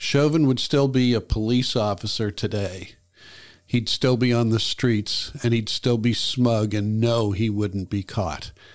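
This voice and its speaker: An ordinary speaking voice from a man with an American accent, medium in pitch with ordinary pitch variation and very even loudness, at a fairly slow pace, on a very clean recording with a silent background. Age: 60s. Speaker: YouTube host. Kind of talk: personal commentary monologue.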